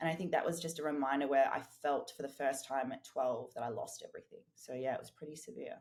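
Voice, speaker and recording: An Australian-accented woman talks very fast with hardly any pauses, in a very deep, low pitch. Her pitch variation is ordinary, while her loudness swings widely. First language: German and Portuguese. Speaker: fitness and business coach. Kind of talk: podcast interview.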